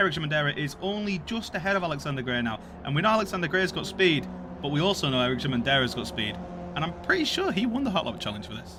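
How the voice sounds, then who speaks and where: Very fast male speech in a Yorkshire accent, fairly high in pitch with very wide pitch swings, amid noticeable background noise and audible room echo. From Yorkshire, northern England. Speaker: sim racing commentator. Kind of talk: live commentary. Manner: animated.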